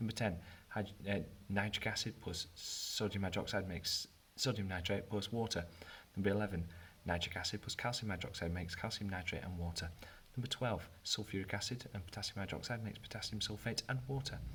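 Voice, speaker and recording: With a British accent, a man speaks at a fairly quick pace, his pitch varying in an ordinary way. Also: fairly low pitch for a man. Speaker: chemistry teacher. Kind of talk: tutorial. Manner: fast.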